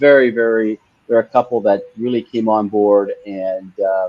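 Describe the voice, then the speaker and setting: A man with an unremarkable speaking voice talks at a fairly slow pace with ordinary pitch variation. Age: 60s. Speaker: franchise company co-founder. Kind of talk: interview.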